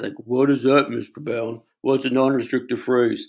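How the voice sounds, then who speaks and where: A put-on character voice delivered at a moderate pace over a quiet background. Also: man, medium pitch for a man. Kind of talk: stereotype voice. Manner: slow, dim-sounding.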